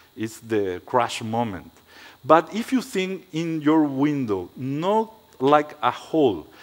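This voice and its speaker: A man's fairly high voice at a very slow pace, with lively intonation. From Paraguay. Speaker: architect. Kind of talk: lecture. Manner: halting.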